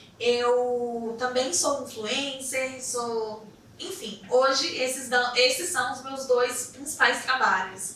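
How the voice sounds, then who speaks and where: Speaking at a very slow pace with a Brasília accent, a woman uses a high pitch amid audible room echo and noticeable background noise. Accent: Brazilian Portuguese, Brasília. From Brazil, Brasília (Ceilândia). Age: 30s. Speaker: therapist and influencer. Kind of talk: podcast interview.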